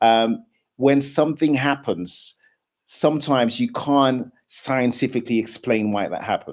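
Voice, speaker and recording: This man has an ordinary speaking voice at medium pitch with ordinary pitch variation. He speaks at a fairly slow pace over a quiet background. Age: 40s. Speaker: debate show host. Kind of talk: live debate discussion.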